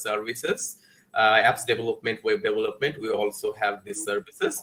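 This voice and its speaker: Speaking with a Bengali accent, a man keeps his intonation fairly even. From Bangladesh. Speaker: guest lecturer. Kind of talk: lecture. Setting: video call. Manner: halting.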